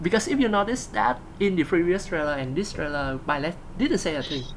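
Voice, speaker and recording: A woman's voice with very wide pitch swings and a Vietnamese accent, at a moderate pace. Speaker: gaming video host. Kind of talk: casual discussion. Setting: live stream. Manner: halting, many fillers and repeats.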